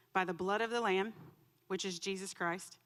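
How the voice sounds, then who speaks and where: A woman talks very fast at a medium pitch. Her intonation is monotone and flat. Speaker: church member giving testimony. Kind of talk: testimony. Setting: church. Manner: loud; emotional.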